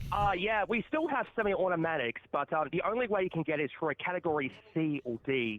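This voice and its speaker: At a fairly quick pace, a man with a high pitch speaks in a lively intonation at very even loudness. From Australia, New South Wales. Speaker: call-in guest. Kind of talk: casual debate.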